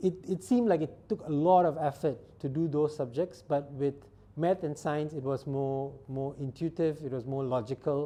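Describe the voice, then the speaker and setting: At a moderate pace, a man with a non-native accent talks in a dark, mellow tone, his fairly high pitch showing ordinary variation. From Singapore. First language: not English. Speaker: startup founder and scientist. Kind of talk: interview monologue. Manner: halting.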